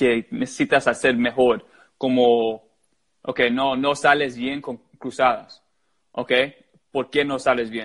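A man speaks with an English accent at a medium pitch. His pace is very slow. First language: English (speaking Spanish). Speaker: goalkeeper coach. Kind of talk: interview. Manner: halting.

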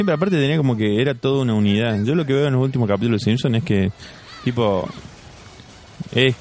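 The speaker is a man. Noticeable background noise runs underneath. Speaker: podcast co-host. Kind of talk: casual chat.

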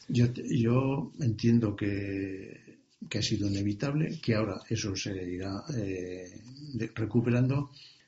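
A man speaks very slowly in a fairly low pitch. His voice is somewhat breathy. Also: ordinary pitch variation. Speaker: retired bank manager, business adviser. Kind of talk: interview. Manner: halting.

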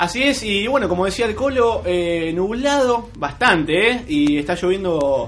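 A high-pitched man at a fairly slow pace, very wide pitch swings, hardly any pauses, and noticeable background noise. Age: 20s. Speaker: radio host. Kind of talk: radio show with interview. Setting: radio studio, live broadcast.

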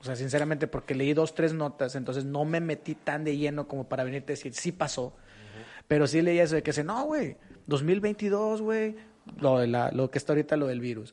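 This man has a fairly high pitch with ordinary pitch variation. He speaks at a fairly quick pace. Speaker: podcast co-host. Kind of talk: casual chat.

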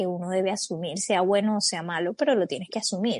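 A plain, everyday voice with ordinary pitch variation, dry and close with no echo, over a quiet background. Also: woman. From Colombia. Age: 20s. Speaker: podcast co-host. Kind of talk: casual chat.

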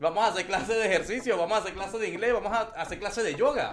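A man speaks very fast in a high-pitched voice with ordinary pitch variation, over noticeable background noise. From Venezuela. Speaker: online English teacher. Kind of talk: casual interview chat.

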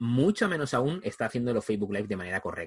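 At a very fast pace, a man with a medium-pitched, somewhat breathy voice speaks with lively intonation in a dry, close sound with no echo. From Spain. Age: 40s. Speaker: video marketing trainer. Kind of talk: interview.

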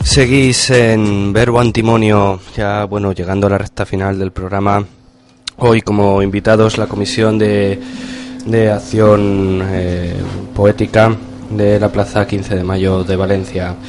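At a very slow pace, a man talks in a fairly low, monotone, flat voice with music in the background. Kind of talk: radio interview, poetic hosting. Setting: radio studio.

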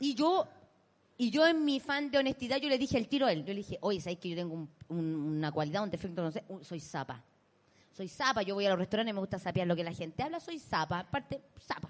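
Pitched in the middle of a woman's range, her voice races along at a very fast pace with very wide swings up and down. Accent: Chilean. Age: 30s. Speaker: comedian and podcast co-host. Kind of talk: live comedy podcast chat. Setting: stage with live audience.

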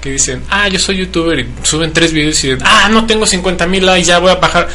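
In a space with audible room echo and noticeable background noise, a man speaks at a moderate pace. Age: 30s. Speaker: radio co-host. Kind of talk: casual chat.

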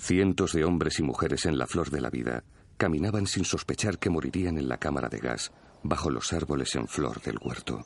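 A man's very deep, low voice with vocal fry, lively intonation and a moderate pace. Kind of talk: voiced reading of a perpetrator's postwar written account.

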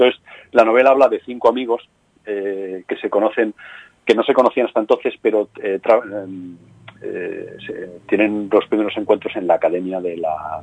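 Heard in a dry, close sound with no echo, a man talks at a moderate pace with big swings in loudness. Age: 50s. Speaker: crime novelist. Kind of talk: interview.

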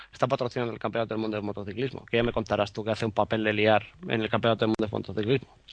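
A very fast-talking man with a fairly low voice. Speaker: photographer. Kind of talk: casual chat. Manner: animated.

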